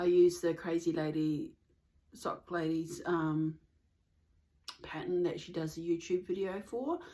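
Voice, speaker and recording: Fairly slow, fairly even speech from a woman with an Australian accent, a dark, mellow tone, a fairly low pitch, and long, frequent pauses. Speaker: knitting podcaster. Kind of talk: casual vlog chat. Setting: at home in the suburbs.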